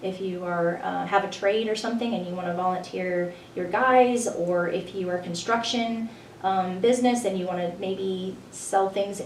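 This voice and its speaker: A woman speaks at a moderate pace with fairly even intonation, amid audible room echo and noticeable background noise. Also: medium pitch for a woman. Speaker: senior center marketing director. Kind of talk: radio interview.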